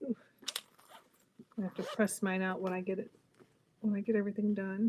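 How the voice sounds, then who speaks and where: Speaking at a fairly quick pace, a woman at medium pitch keeps a monotone, flat intonation. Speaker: sewing and bag-making co-host. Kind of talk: casual chat during live sewing tutorial. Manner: calm, soft-spoken.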